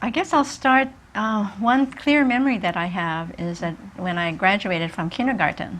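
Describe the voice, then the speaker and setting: The speaker has a Japanese accent and lively intonation. The pace is moderate. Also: woman, medium pitch for a woman. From Hawaii. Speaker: retired social worker and community activist. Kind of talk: interview.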